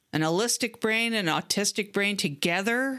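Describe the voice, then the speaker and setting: The tone is bright and sharp, with a Canadian accent and ordinary pitch variation. The pace is fairly slow. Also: woman, very clean recording, silent background. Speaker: podcast host. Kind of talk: podcast monologue. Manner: casual, conversational.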